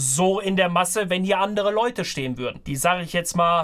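A man speaks with a high pitch at a very fast pace. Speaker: streamer. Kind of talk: casual reaction commentary. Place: home room. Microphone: headset.

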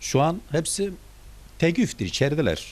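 Vocal fry runs through lively intonation delivered at a very slow pace. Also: man. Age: 70s. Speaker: father of detained teachers. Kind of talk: interview answer.

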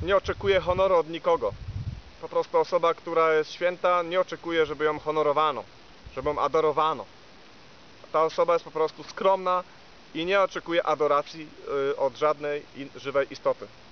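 With light background noise and a dry sound with no echo, a man speaks with fairly even intonation. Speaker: spiritual teacher. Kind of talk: spiritual talk, reading with comments. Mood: calm, measured, hesitant fillers. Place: forest.

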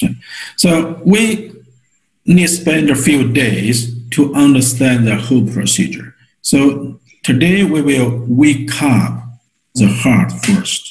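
Vocal fry marks this man's very slow speech, broken by long, frequent pauses. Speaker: teacher of a healing method. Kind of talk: online lecture and guided exercise. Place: home room. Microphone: webcam.

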